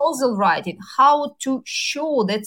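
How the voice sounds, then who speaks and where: Somewhat breathy, a woman with a Ukrainian accent talks at a moderate pace. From Ukraine. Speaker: university dean. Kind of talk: interview. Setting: remote call from Ukraine. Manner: halting, many fillers.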